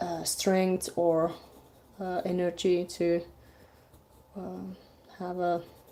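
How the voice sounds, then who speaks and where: With a non-native accent, a woman speaks very slowly in a fairly low pitch, her tone dark and mellow, her intonation monotone and flat, with long, frequent pauses. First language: not English. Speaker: artist live-streaming a drawing. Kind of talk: casual live stream chat. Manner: halting, many fillers.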